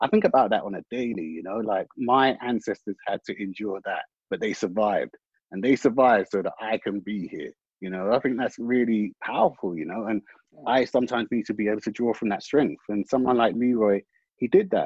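Speaking at a fairly quick pace, a man with a London accent uses a medium pitch and ordinary pitch variation. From West London. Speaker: screenwriter. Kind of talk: panel discussion. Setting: video call.

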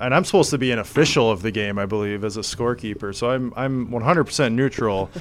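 A very fast man with an American accent and fairly even intonation. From US Midwest, northwest Iowa. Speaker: podcast host. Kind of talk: casual chat. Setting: office.

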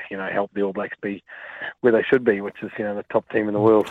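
A man with a New Zealand accent speaks in a fairly low voice. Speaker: rugby coach. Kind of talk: radio interview. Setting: phone call.

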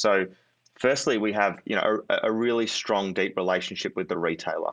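Over a quiet background, a man with an Australian accent talks at a fairly low pitch. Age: 30s. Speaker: startup founder and CEO. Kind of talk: interview. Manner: halting, many fillers.

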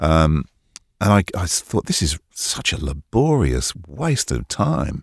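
In a dry, close sound with no echo, a man with a very deep, low pitch and vocal fry speaks at a very slow pace with lively intonation. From England, Hertfordshire. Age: 60s. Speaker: voice-over artist. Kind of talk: interview. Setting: remote call from home studio.

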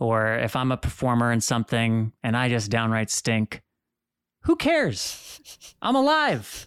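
At a fairly slow pace, a man with a medium pitch and a plain, everyday voice speaks in a very clean recording with a silent background. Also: dry, close sound with no echo. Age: 30s. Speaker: hemophilia advocate and podcast host. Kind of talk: interview.

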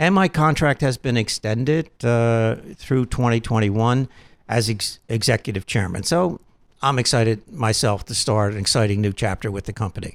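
In a normal speaking voice, a man speaks at a medium pitch with ordinary pitch variation, recorded dry and close with no echo. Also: moderate pace, very clean recording, silent background. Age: 60s. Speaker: car dealership company chief executive. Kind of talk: radio interview.

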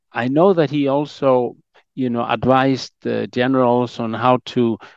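In a quiet background with a dry, close sound and no echo, a man uses an ordinary speaking voice of medium pitch, ordinary pitch variation and a fairly slow pace. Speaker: historian. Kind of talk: interview.

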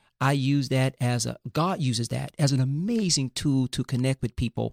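The recording is very clean, with a silent background. A man speaks in a plain, everyday voice at medium pitch with ordinary pitch variation. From US South, Fort Lauderdale, Florida. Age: 50s. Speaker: pastor. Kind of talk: casual interview.

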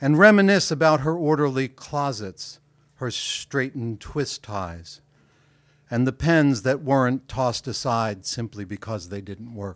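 Delivery is fairly slow, with lively intonation and big swings in loudness. The recording is very clean, with a silent background. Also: man, medium pitch for a man. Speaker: poet. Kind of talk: poetry reading. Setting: stage with audience. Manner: long-winded.

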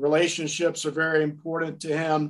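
A man in an American accent speaks at a moderate speed, his pitch fairly high. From US South, Nashville, Tennessee. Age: 60s. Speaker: sports sales executive. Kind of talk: interview. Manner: halting, many fillers.

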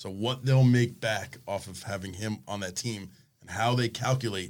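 This is a normal speaking voice with an American accent. It has ordinary pitch variation and a moderate pace. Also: man. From South Florida. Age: 40s. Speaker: fishing tackle shop owner. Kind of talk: casual chat.

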